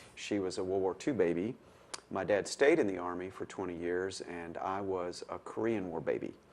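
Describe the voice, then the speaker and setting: This man talks at a moderate pace with a Tennessee accent. His pitch is very deep and low, with ordinary variation. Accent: Southern US (Tennessee). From Middle Tennessee (Manchester). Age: 60s. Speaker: retired lawyer. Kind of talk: oral history interview. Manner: hesitant, with fillers.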